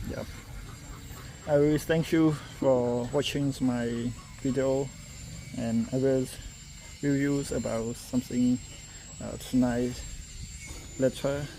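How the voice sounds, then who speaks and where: Amid noticeable background noise, a man with medium pitch speaks very slowly in a monotone, flat intonation, with long, frequent pauses. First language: not English. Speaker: vlogger touring a blacksmith workshop. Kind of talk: casual vlog walkthrough. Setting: blacksmith workshop in countryside. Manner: halting.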